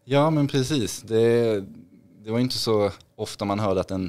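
A man's pitch shows ordinary variation. He keeps a moderate speed throughout. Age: 30s. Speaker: trader and investor, former hockey player; podcast guest. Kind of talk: podcast interview. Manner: hesitant, many fillers. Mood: friendly, relaxed. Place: studio. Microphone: studio mic.

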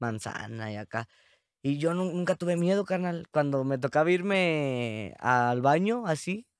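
Against a quiet background, a man speaks at a fairly slow pace with lively intonation in a dry sound with no echo. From Mexico, San Luis Potosí. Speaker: rapper; podcast guest. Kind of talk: casual chat. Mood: relaxed, animated storytelling. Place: studio. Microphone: studio mic.

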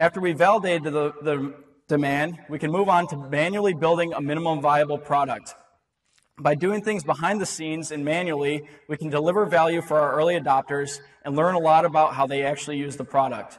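A man speaks at a fairly quick pace with fairly even intonation. The background is quiet. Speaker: presenter. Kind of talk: short-format talk to an audience.

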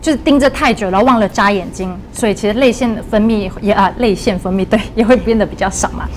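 Over background music, a woman talks at a very fast pace in a medium pitch with ordinary pitch variation. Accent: Malaysian. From Malaysia. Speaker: dietitian. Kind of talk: livestream health talk, casual chat. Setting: studio livestream. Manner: lively, laughs often. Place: studio. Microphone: lapel.

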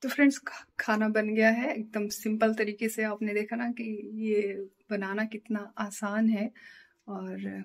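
Against a quiet background, a woman speaks at a very slow pace and sounds somewhat breathy. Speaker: home cooking vlogger. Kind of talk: casual vlog chat. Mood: warm, relaxed. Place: kitchen. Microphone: phone near.

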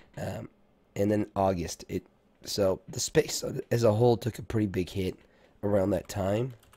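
With a dark, mellow tone and fairly low pitch, a man talks at a moderate pace with ordinary pitch variation and long, frequent pauses. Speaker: stock market streamer. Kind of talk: live market analysis stream. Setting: live stream.

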